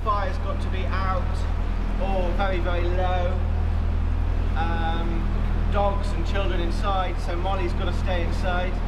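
A man talks at a fairly slow pace while loud background noise plays behind him. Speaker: narrowboat vlogger. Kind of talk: casual vlog chat. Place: tunnel cave.

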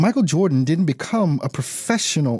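A man talks at a moderate pace with a fairly high pitch and a somewhat breathy, dark, mellow tone. The recording is very clean with a silent background, and the sound is dry and close with no echo. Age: 40s. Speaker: radio host and business coach. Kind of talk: motivational radio talk. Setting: live radio broadcast and Instagram livestream. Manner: animated.

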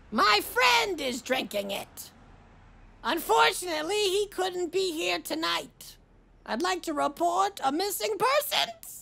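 A put-on character voice from a woman, extremely high in pitch and fairly slow in pace.

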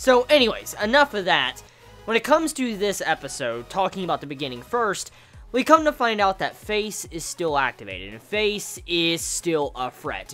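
With faint music in the background, a man speaks at a moderate pace in a raised, projected voice with big swings in loudness. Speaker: anime reviewer. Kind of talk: casual episode review commentary.

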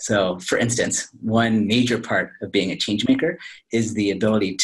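At a moderate pace, a somewhat breathy voice shows ordinary pitch variation over a quiet background. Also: man. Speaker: professor, remote interview guest. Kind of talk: interview answer. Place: office. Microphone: video call.

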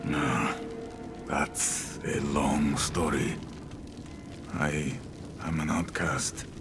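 In a put-on character voice, a man talks at a very slow pace and extremely low pitch with little pitch movement, while clear music plays in the background.

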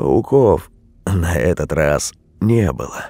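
With lively intonation, a man talks very slowly. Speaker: audiobook narrator of scary stories. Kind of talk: scripted horror story narration, reading aloud. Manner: hushed, eerie, slow and tense, building dread; shifts between voices: hoarse old witch, frightened young man.

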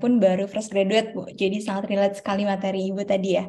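A woman speaks very fast in a dark, mellow tone that is somewhat breathy. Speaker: webinar moderator. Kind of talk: formal moderation. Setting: video call. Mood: cheerful, smiling. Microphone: video call.

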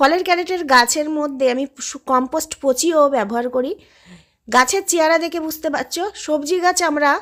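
Ordinary pitch variation marks the voice in a very clean recording with a silent background. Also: woman, high pitch for a woman. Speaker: gardening YouTuber. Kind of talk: tutorial. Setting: outdoors.

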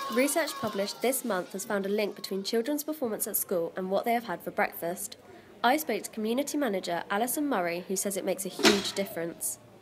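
A woman speaks very fast with lively intonation and a fairly high pitch. Noticeable background noise sits behind her. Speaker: student news presenter. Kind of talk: studio newsreading, crisp scripted bulletin delivered to camera from autocue. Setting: TV studio. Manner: measured, formal newsreader cadence with clean even pacing; composed and neutral, softening for a sensitive warning.

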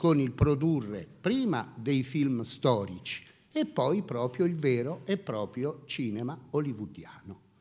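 Against a quiet background, a man talks at a very slow pace with ordinary pitch variation. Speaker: fashion house executive; speaker. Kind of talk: lecture. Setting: seminar room with audience. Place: hall. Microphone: handheld.

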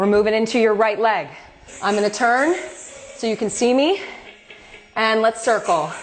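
Pitch moves in an ordinary way as the woman talks. Music plays faintly behind her. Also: moderate pace. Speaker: fitness instructor. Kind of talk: workout class instruction. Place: home room. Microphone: camera far.

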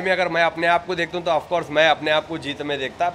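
A man's voice in a Hyderabadi accent with monotone, flat intonation over light background noise. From Hyderabad, India. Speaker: reality show contestant. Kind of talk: interview answer. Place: hall. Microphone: handheld.

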